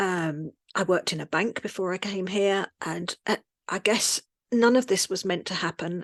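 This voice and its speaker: At a moderate pace, a woman speaks at a medium pitch, the sound dry and close with no echo. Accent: Cockney. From London, England. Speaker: expat business owner, writer. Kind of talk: interview.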